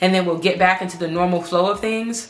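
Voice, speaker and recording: With an American accent and fairly even intonation, this voice carries audible room echo over noticeable background noise. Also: woman. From Baltimore, Maryland, US. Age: 20s. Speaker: medical student vlogger. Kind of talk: casual vlog monologue. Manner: rambling, stuttering.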